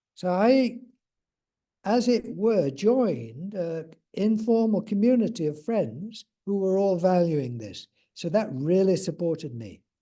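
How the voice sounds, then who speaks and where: With an English accent, a man speaks in a high pitch. His tone is dark and mellow, and his intonation is lively. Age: 70s. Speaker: spiritual teacher. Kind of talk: casual interview chat.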